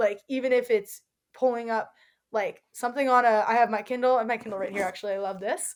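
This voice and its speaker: Speaking with an American accent, the voice has an animated tone and a very fast pace. The recording is very clean and the background silent. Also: woman, fairly high pitch for a woman. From North Carolina, Raleigh. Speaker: university student. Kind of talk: casual interview chat. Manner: fast when excited.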